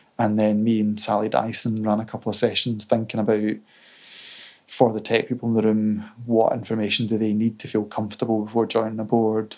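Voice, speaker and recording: A man with a Scottish accent talks at a fairly quick pace. His fairly low voice stays monotone and flat. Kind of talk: casual chat. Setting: in-person recording in Edinburgh.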